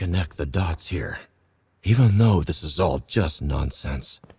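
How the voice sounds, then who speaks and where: Putting on a character voice, the man speaks at a very deep, low pitch. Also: fairly slow pace. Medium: video game.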